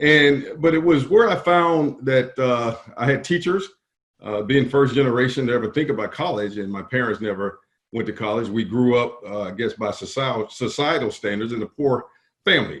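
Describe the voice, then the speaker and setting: A man with a South Carolina accent talks at a moderate pace with lively intonation. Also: medium pitch for a man. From US South, rural South Carolina. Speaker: business association executive. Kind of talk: interview.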